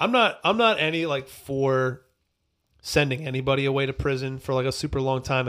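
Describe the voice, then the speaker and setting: A man speaks at a moderate pace and medium pitch, in a normal speaking voice with ordinary pitch variation. The recording is very clean, with a silent background. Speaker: podcast host. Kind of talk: casual banter, music review podcast. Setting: studio.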